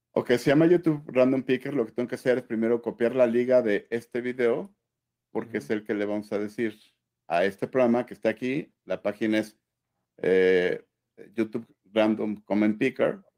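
A man with a medium pitch and a dark, mellow tone speaks at a moderate pace. His pitch varies in an ordinary way over a quiet background. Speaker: friend helping with giveaway; co-host guest on a live stream. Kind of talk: casual livestream chat. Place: home room. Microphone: video call.

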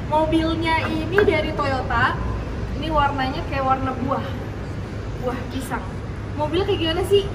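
A woman's fairly quick speech over loud background noise. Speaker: presenter. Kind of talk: car review walkaround. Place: garage. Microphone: camera far.

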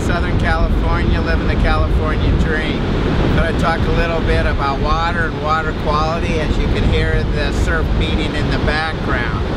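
A man talks with hardly any pauses over loud background noise, the sound dry with no echo. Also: moderate pace. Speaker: course instructor. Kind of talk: lecture. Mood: light, joking. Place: beach. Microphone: camera far.

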